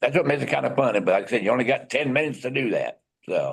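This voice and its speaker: There is vocal fry in this man's voice. Everything behind him is quiet. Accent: American. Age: 60s. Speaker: ham radio emergency coordinator. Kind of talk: public meeting guest presentation. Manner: halting.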